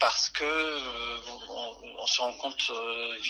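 Noticeable background noise behind a male voice, its pitch varying in an ordinary way. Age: 30s. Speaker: salesman and gamer. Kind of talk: testimony. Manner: halting, many fillers and repetitions.

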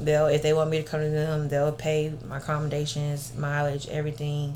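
A woman with a very deep, low pitch and a somewhat breathy voice talks at a moderate pace with audible room echo. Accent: Southern US. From Alabama (Grove Hill, Clarke County), military brat. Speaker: personal chef and makeup artist. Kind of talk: casual interview chat.

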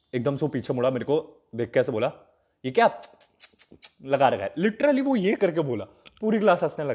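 Using very wide pitch swings, a man with a fairly high pitch talks at a moderate pace broken by long, frequent pauses. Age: 20s. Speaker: comedy content creator. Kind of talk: casual storytelling monologue. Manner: hesitant.

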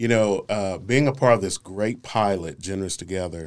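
A man with an unremarkable speaking voice and fairly low pitch talks at a moderate pace. The recording is very clean, with a silent background. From Northeast Oklahoma City, Oklahoma. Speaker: nonprofit practitioner and mentor. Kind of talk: interview conversation.

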